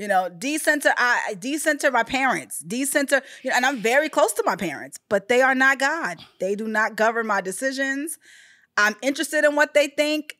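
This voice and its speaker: A woman projects her raised, high-pitched voice at a fairly quick pace, with lively intonation and a bright, sharp tone. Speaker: podcast host. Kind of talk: casual podcast talk.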